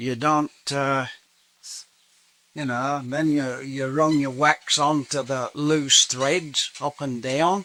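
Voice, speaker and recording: A man with an English accent speaks very slowly in a fairly high, monotone voice with flat intonation. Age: old. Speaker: saddler. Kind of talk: interview answer. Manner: casual, demonstrating.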